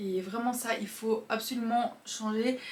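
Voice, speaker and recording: Her delivery is monotone and flat, set at a fairly high pitch for a woman. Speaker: self-improvement youtuber. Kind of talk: casual monologue. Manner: fast.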